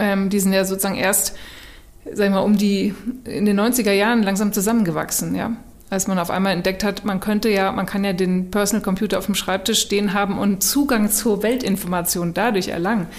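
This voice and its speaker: Speaking at a fairly quick pace, a woman keeps a flat, monotone delivery. Her pitch is medium. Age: 40s. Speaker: author and design strategist. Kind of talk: casual chat.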